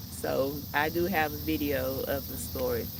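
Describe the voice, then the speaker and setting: Noticeable background noise and audible room echo. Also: woman. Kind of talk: casual live stream while gardening. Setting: outdoors. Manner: loud, raised voice.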